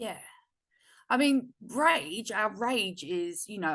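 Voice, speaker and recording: Loud and fairly high-pitched, a woman speaks with very wide pitch swings over a quiet background. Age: 40s. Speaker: feminine embodiment mentor. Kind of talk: podcast interview.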